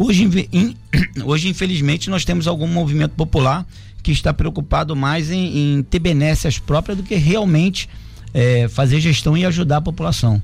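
With music playing behind him, a man talks, his pitch varying in an ordinary way. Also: fairly high pitch for a man, moderate pace. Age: 40s. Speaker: politician. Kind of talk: radio interview. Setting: studio.

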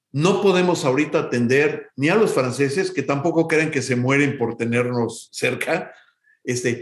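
A man with a Mexico City accent speaks at a fairly high pitch. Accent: Mexican Spanish (Mexico City). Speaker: music academy executive. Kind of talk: interview.

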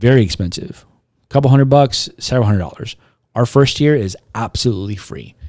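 At a fairly quick pace, the speaker uses an animated tone and lively intonation. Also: man, medium pitch for a man. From South Texas (Robstown, near Corpus Christi). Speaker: comic convention co-owner and apparel entrepreneur. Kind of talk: casual interview chat. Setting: home studio.

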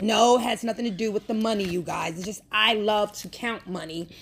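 A woman's animated, fairly quick voice at a medium pitch with ordinary pitch variation, amid noticeable background noise. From New York. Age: 30s. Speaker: podcast host. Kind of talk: casual monologue.

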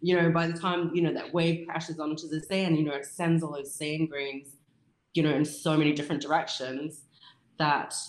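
A woman's very deep, low voice in an Australian accent, monotone and flat, at a moderate pace. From South Australia, rural farm. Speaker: abstract sand photographer. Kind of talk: casual interview chat. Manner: many filler sounds (um, uh).

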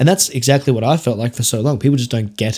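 Speaking at a very fast pace, a man with an Australian accent keeps a medium pitch and ordinary pitch variation. The recording is very clean, the background silent. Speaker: podcast host and success coach. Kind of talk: solo podcast monologue. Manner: casual, filler-heavy.

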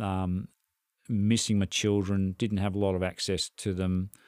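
On a very clean recording with a silent background and a dry, close sound with no echo, a man with an Australian accent speaks at a moderate pace and a fairly low pitch. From Victoria, Australia. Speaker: retired flight paramedic. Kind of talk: interview.

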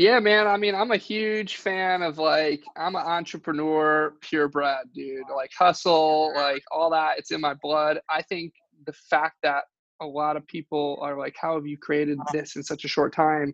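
A plain, everyday voice from a man with an American accent, fairly slow pace, ordinary pitch variation and a dry, close sound with no echo. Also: fairly high pitch for a man. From Michigan, US. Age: 20s. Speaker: real estate investor. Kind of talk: interview. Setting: call.

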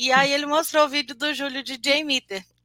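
A woman uses a raised, projected voice with a bright, sharp tone. She keeps a moderate pace, and the sound is dry and close with no echo. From Brazil, Juiz de Fora, Minas Gerais. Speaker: senior software QA analyst. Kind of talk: live-streamed interview.

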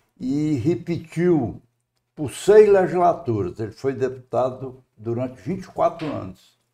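Very slowly, a man speaks in a dark, mellow, fairly high voice whose loudness swings widely. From Brazil, Ceará (Tauá, raised in Fortaleza). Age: 80s+. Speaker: retired civil engineer and former public official. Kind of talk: interview.

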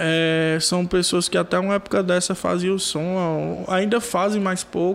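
With a Ceará accent, a man holds a high pitch in monotone, flat intonation, speaking fairly slowly with hardly any pauses and very even loudness. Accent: Brazilian Portuguese, Cearense. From Brazil, Maracanaú, Ceará. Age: 20s. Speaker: rapper and sound technician. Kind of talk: casual chat.

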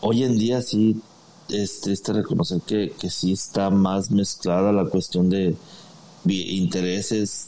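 A man speaks at a very slow pace with a fairly low pitch and a dark, mellow tone. His intonation is fairly even. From Mexico, Guadalajara, Jalisco. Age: 40s. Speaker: former footballer. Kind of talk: interview. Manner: halting.

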